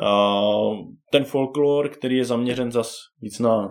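Here a man speaks with a plain, everyday voice. His intonation stays fairly even. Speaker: board game enthusiast. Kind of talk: casual chat.

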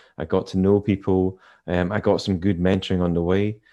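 In a Scottish accent, a man with a very deep, low pitch and a dark, mellow tone speaks at a moderate pace. His intonation is monotone and flat against a quiet background. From Scottish Highlands, Inverness. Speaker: corporate communications head. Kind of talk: interview. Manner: easy-going, understated.

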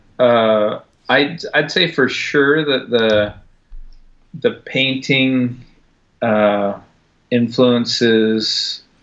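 The speaker talks at a very slow pace in an American accent. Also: man. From US. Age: 40s. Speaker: artist. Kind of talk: casual interview chat. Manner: halting, many fillers.

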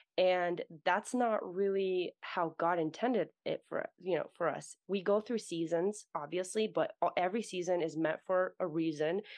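A woman with an American accent speaks in an unremarkable speaking voice at a medium pitch and a moderate pace, with ordinary pitch variation and hardly any pauses. Her loudness is very even, and the sound is dry and close with no echo against a quiet background. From US, Russian-born. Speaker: writer and podcaster. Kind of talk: casual faith conversation.

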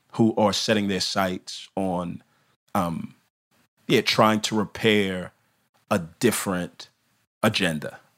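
A man talks at a fairly slow pace with a fairly low pitch and fairly even intonation. The recording is very clean, the background silent. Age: 30s. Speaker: pastor. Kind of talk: interview conversation. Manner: casual.

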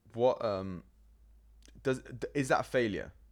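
A man talks with a London accent. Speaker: podcast host. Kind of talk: casual interview; scripted credits reading. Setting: guest's flat.

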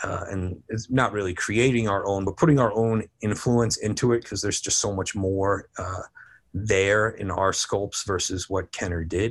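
A man with an American accent, an ordinary speaking voice, fairly low pitch, fairly even intonation and a moderate pace, against a quiet background. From New Jersey. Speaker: toy company creative director. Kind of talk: interview.

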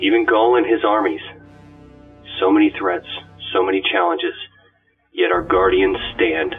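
Over faint music in the background, a man uses a put-on character voice at medium pitch, with vocal fry, a slightly husky edge, big pitch swings and a fairly slow pace.

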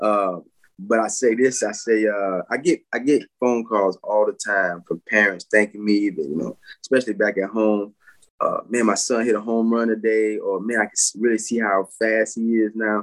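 This man has a plain, everyday voice, a fairly low pitch and an American accent, speaking at a moderate pace with fairly even intonation. The sound is dry and close with no echo, and the recording is very clean with a silent background. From US South, Pensacola, Florida. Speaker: former professional baseball player. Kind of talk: casual interview. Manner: filler-heavy, relaxed.

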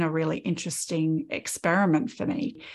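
This woman has an Australian accent. Her pitch shifts in an ordinary way. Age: 50s. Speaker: podcast host, artist. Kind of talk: casual chat.

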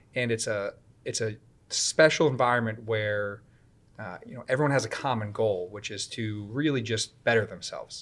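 A man speaks at a moderate pace in a medium pitch, with an unremarkable speaking voice and fairly even intonation. The recording is very clean, with a silent background. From Connecticut, US (Woodbridge). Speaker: police officer. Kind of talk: interview.

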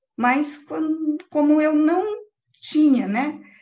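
A woman talks at a high pitch with a dark, mellow tone. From Brazil, São Paulo city, later interior of Paraná. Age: 50s. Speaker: guest interviewee, facilitator. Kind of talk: interview, live online chat. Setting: live online video call.

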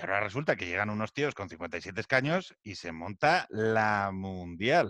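Against a quiet background, a man speaks at a fairly slow pace with hardly any pauses, his fairly low-pitched voice bright and sharp in a dry, close sound with no echo. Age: 40s. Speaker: podcast host. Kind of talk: casual chat.

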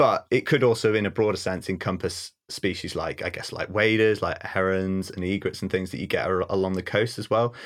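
On a very clean recording with a silent background, a man with a North Welsh accent speaks at a fairly low pitch and a fairly quick pace, his intonation fairly even and hardly any pauses. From North Wales. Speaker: ecologist and wildlife photographer. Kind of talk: casual interview chat.

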